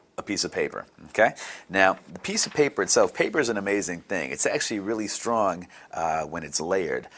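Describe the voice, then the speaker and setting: An ordinary speaking voice from a man, moving at a fairly quick pace. His intonation is lively. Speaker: bartending instructor. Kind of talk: tutorial. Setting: bartending school.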